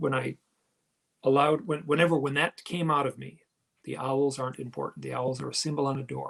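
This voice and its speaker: A man speaks at a fairly high pitch and a moderate pace with vocal fry. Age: 50s. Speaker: author and paranormal experiencer. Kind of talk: interview conversation.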